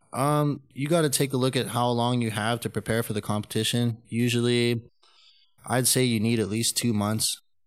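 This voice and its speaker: With music in the background, the speaker talks at a moderate pace in a Canadian accent with fairly even intonation. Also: man, medium pitch for a man. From Canada (Calgary). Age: 30s. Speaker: powerlifter and jiu-jitsu coach. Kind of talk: casual interview.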